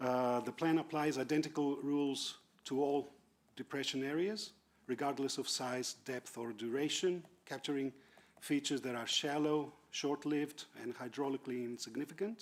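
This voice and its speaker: A man's fairly high voice with ordinary pitch variation at a moderate pace. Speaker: expert witness at planning hearing. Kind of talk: reading a prepared statement. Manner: loud; halting, self-correcting.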